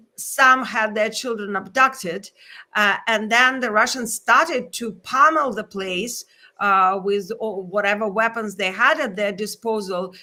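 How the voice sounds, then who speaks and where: A woman's fairly high, bright, sharp voice with a non-native accent, fairly slow pace and ordinary pitch variation, on a very clean recording with a silent background. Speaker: journalist. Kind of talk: interview.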